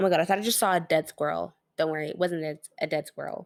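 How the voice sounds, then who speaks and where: The speaker's tone is animated. The recording is very clean with a silent background. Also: woman. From Canada. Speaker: sewing YouTuber. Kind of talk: casual voiceover narration. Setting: recorded voiceover.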